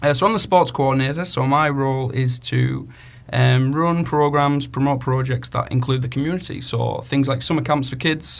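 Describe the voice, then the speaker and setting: With a Cumbrian accent, a man talks at a moderate pace in a medium pitch, his intonation fairly even. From northern England, Cumbria. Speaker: community radio co-host, sports coordinator. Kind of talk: casual radio chat. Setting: radio studio.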